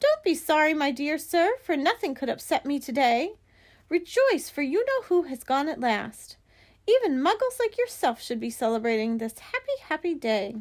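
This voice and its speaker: Put-on character voice from a woman, high-pitched and squeaky, very wide pitch swings, moderate pace, very clean recording with a silent background. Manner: jubilant, delighted.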